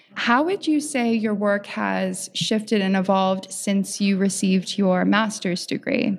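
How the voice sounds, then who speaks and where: A woman talks at a fairly slow pace with ordinary pitch variation, very even loudness and hardly any pauses, over noticeable background noise. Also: medium pitch for a woman. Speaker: podcast host. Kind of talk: interview. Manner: enthusiastic.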